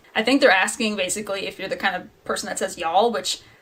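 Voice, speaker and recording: A woman with a northern New York accent speaks with lively intonation. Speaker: writer. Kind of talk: casual talk to camera.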